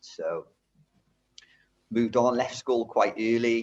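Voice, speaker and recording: A man with a Welsh accent speaks at a moderate pace. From Wales, rural Brecon area. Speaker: driving instructor. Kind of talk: interview, life story. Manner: hesitant, many fillers and repeats.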